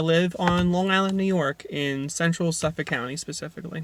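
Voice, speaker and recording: This man talks at a moderate pace in a fairly high pitch, keeping his intonation fairly even. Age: 20s. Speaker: EV enthusiast YouTuber. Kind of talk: channel introduction monologue.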